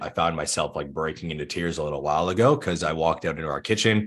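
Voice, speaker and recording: A man speaks with a Canadian accent and a very deep, low pitch. The background is quiet. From Thunder Bay, Ontario, Canada. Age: 20s. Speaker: fitness and business coach. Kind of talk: casual interview chat.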